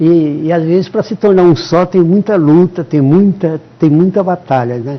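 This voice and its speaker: Over noticeable background noise, a man speaks fairly slowly. His pitch is high, with ordinary variation. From São Paulo state, Brazil. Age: 70s. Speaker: retired father of a police chief. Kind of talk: TV interview. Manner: halting, with many repetitions.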